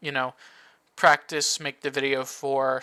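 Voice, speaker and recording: In a dry, close sound with no echo, a man with a bright, sharp tone speaks at a medium pitch and moderate pace on a very clean recording with a silent background. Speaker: card game content creator. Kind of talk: tutorial. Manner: casual.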